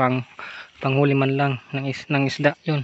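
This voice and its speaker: A man's voice comes through with a dry sound and no echo. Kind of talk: casual vlog chat. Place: forest. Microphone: phone near.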